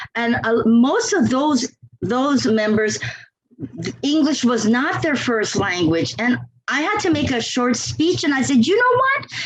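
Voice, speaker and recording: A woman with a non-native accent speaks at a fairly slow pace in a high pitch, her pitch swinging very widely while her loudness stays very even. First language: not English. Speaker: longtime Toastmasters member. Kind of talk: podcast interview.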